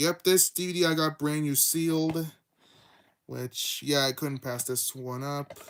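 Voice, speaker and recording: This man's pitch is fairly high. He talks at a fairly slow pace. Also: fairly even intonation. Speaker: YouTube streamer, physical media collector. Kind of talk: casual livestream show-and-tell. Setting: livestream. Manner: quiet; halting, many fillers and restarts.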